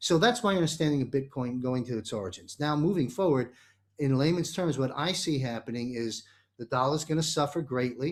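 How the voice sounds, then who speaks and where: A man with a plain, everyday voice speaks at a fairly quick pace and medium pitch, with ordinary pitch variation, on a very clean recording with a silent background. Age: 60s. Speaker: talk show host. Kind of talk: panel discussion.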